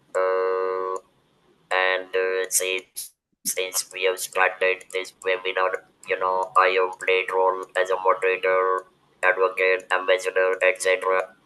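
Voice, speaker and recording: With music in the background, a man speaks at a very slow pace in a very deep, low pitch with monotone, flat intonation. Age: 70s. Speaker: webinar moderator and cancer survivor. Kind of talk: webinar discussion. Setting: video call. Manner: halting.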